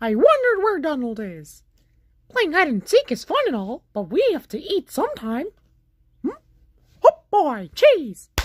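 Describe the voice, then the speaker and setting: In a put-on character voice with a high pitch, the speaker moves at a moderate pace with long, frequent pauses. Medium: role play. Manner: upbeat.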